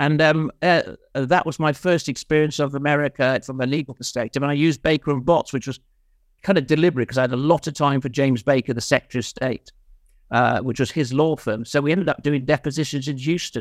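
Very fast and with fairly even intonation, a man with a Welsh accent speaks in a fairly high pitch, with a dry, close sound with no echo. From Mid-Wales. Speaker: insolvency and restructuring consultant. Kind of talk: casual interview. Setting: video call.

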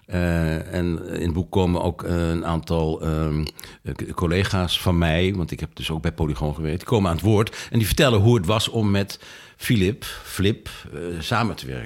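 In a very clean recording with a silent background, a man with a very deep, low pitch speaks at a moderate pace with ordinary pitch variation. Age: 70s. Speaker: author and retired filmmaker. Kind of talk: interview. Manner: halting.

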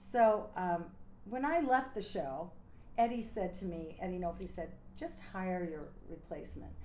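In an American accent, a woman talks at a fairly slow pace with a medium pitch, lively intonation, a dark, mellow tone and vocal fry. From US Northeast, near Scranton, Pennsylvania. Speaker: retired Broadway dancer. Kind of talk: interview.

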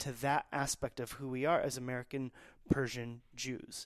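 This man has an unremarkable speaking voice, pitched fairly high, at a fairly slow pace. The recording is very clean, with a silent background. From Texas, Dallas. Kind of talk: interview.

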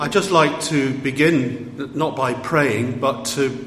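Noticeable background noise sits behind a man's voice. His intonation stays fairly even. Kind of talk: welcome and prayer.

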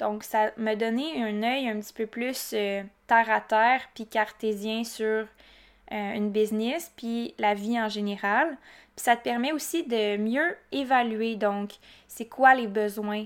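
Speaking very slowly in a Quebec accent, a woman uses a fairly high pitch in a very clean recording with a silent background. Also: ordinary pitch variation. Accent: Québécois French. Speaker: entrepreneur podcaster. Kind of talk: casual solo monologue. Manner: chatty with frequent fillers.

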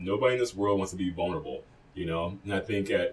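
Fairly low in pitch, a man races along at a very fast pace. He sounds somewhat breathy and speaks with an American accent. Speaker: podcast co-host and DJ. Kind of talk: casual chat. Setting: studio.

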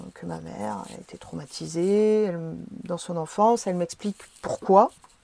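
The woman's voice comes across dry and close, with no echo. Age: 40s. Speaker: psychedelic experience witness. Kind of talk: testimony. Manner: hesitant, many filler sounds.

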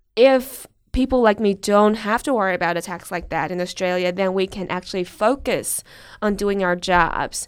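A woman with a Chinese accent speaks at a moderate pace with ordinary pitch variation. The recording is very clean, with a silent background. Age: 20s. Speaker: researcher and journalist. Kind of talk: interview.

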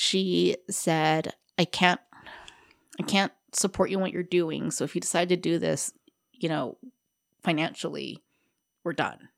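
Long, frequent pauses in a monotone, flat delivery with vocal fry at a fairly slow pace, dry and close with no echo, on a very clean recording with a silent background. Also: woman, fairly low pitch for a woman. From Hawaii (Honolulu). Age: 30s. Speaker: guest sharing recovery story. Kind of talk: testimony. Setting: studio.

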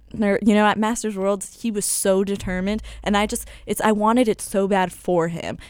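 A woman's monotone, flat delivery at a medium pitch and moderate pace, in a very clean recording with a silent background. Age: 20s. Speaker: mixed martial arts fighter. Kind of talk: interview. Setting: studio. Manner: projects voice loudly.

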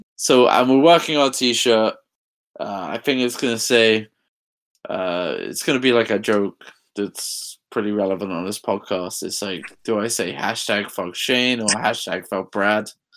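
A man speaks with an English accent and ordinary pitch variation on a very clean recording with a silent background. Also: medium pitch for a man, moderate pace. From England. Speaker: podcast co-host. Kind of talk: casual chat.

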